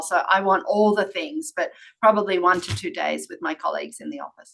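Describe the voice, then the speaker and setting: Speaking at a fairly quick pace, a woman with an Australian accent has a bright, sharp tone and a medium pitch. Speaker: workplace strategy executive. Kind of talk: interview.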